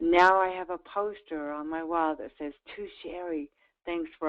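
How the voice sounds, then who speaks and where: In an American accent, a woman talks with a fairly low pitch. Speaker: grant funding expert and nonprofit founder. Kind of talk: webinar sales presentation. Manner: animated.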